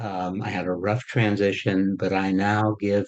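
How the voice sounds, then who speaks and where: A man's fairly low, monotone voice with flat intonation over a quiet background. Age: 70s. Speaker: retired history professor. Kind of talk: panel discussion.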